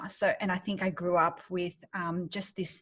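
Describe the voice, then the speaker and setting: A woman speaks at a medium pitch with an Australian accent. The recording is very clean, with a silent background. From Australia, Sydney. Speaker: business founder and mentor. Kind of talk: interview. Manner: hesitant, many fillers.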